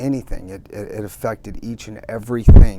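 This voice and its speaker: A man speaks with audible room echo. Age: 60s. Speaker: recovering alcoholic sharing his story. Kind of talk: testimony. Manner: halting.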